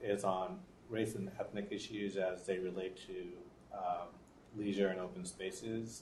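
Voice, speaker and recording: A man speaks with a fairly low pitch and a slight Boston accent. His intonation stays fairly even, and room echo is audible. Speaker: professor. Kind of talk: panel introduction. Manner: halting.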